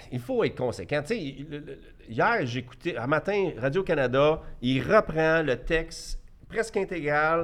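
This man has an unremarkable speaking voice. His pitch sits fairly high and his intonation is lively. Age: 50s. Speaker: entrepreneur. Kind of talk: debate.

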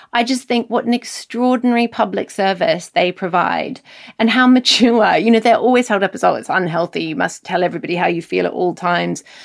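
A woman with a medium pitch speaks with vocal fry. Her pace is fairly quick, with hardly any pauses. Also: ordinary pitch variation. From New Zealand. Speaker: novelist. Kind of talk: interview conversation.

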